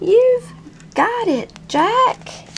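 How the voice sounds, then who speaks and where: Squeaky and extremely high, a woman's put-on character voice comes through. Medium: read story. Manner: upbeat, encouraging.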